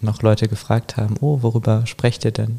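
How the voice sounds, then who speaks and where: The man's tone is dark and mellow, somewhat breathy. His intonation stays fairly even. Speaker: artist. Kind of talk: casual chat. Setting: in-person, both wearing headphones. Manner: hesitant, many fillers.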